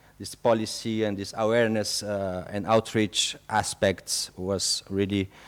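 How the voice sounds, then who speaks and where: A man with a French accent, fairly low in pitch, monotone and flat, at a fairly slow pace with hardly any pauses and big swings in loudness. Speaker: expedition program speaker. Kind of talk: public talk. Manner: halting, many fillers.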